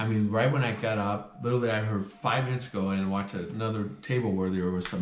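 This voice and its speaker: A fairly low-pitched man at a fairly quick pace, with audible room echo and noticeable background noise. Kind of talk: casual chat. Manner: loud.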